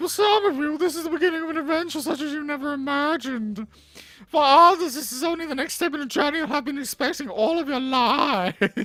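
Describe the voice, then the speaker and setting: A put-on character voice runs at a fairly quick pace and a high pitch. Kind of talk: formal, dignified, welcoming.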